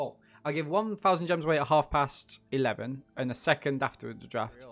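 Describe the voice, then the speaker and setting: Talking at a fairly quick pace with an East Midlands accent, a man with a fairly high pitch shows ordinary pitch variation and big swings in loudness. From England, Nottingham. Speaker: gaming streamer. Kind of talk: live game commentary. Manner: animated.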